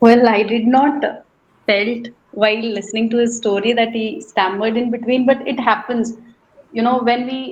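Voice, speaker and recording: Her pitch fairly high, a woman talks at a moderate pace with fairly even intonation. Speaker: SSB candidate. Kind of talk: group discussion. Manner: medium pace.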